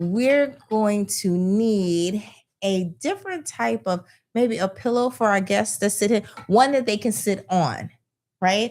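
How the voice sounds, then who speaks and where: Lively intonation marks a woman's voice in a very clean recording with a silent background. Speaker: podcast co-host. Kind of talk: live podcast conversation. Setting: studio with camera and tripod. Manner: loud.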